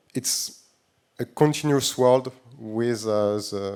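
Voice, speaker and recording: With a French accent, a man speaks at a very slow pace in a dark, mellow tone, at a medium pitch and with fairly even intonation. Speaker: tech company CEO. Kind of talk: panel discussion. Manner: halting, many fillers.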